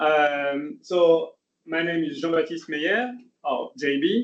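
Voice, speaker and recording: With a French accent and lively intonation, a man speaks at a fairly high pitch. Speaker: engineer. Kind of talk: lecture. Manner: hesitant, many fillers.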